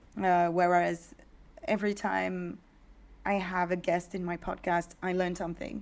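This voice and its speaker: With a French accent, a woman speaks in a fairly low voice at a fairly slow pace, keeping her intonation fairly even. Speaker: podcast host, entrepreneur. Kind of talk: casual chat.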